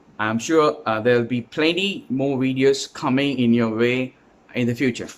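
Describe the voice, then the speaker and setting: This man talks at a moderate pace and a medium pitch. His pitch varies in an ordinary way. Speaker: English teacher. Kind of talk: tutorial. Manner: halting, many fillers; casual.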